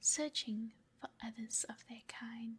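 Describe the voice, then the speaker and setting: A woman whispers. Her pace is very slow. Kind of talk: ASMR sleep story reading. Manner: whispered.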